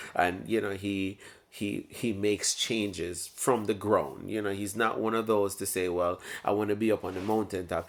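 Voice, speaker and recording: In a Jamaican accent, the speaker keeps a moderate pace and a fairly even intonation. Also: man. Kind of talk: casual talk to camera. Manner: reflective, hesitant.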